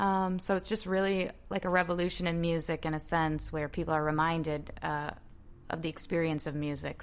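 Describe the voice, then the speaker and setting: A woman speaks fast with an American accent at a very deep, low pitch. Her delivery is monotone and flat at a fairly quick pace. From Massachusetts, Boston area. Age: 30s. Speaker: singer-songwriter and music teacher. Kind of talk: casual interview chat.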